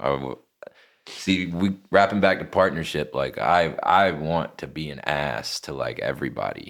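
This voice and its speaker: With an American accent, a man speaks very deep and low with vocal fry and big swings in loudness in a very clean recording with a silent background. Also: ordinary pitch variation, moderate pace. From North Carolina, Lexington. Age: 20s. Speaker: rapper. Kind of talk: casual interview.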